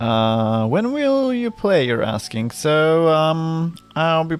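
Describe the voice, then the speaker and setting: Music plays in the background as a man speaks at a very slow pace. His high-pitched voice moves in very wide pitch swings. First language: not English. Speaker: vtuber streamer. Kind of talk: live stream chat. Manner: halting, repeated words.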